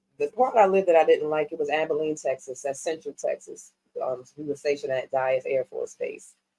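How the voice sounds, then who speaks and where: A woman with a New York accent, recorded with a dry, close sound and no echo. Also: fairly quick pace. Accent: New York accent, noticeable on certain words. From New York City, Harlem and South Bronx. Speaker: music management executive. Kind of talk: casual interview chat.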